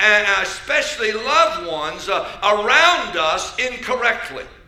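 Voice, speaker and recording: A man's raised, projected voice moves at a very slow pace with lively intonation against noticeable background noise. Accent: American. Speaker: bishop, church preacher. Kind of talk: sermon delivered to a congregation.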